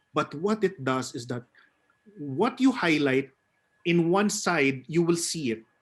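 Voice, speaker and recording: A fairly slow, fairly high-pitched man's voice in a Filipino accent, with very wide pitch swings and long, frequent pauses. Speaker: theater actor and webinar speaker. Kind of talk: webinar presentation.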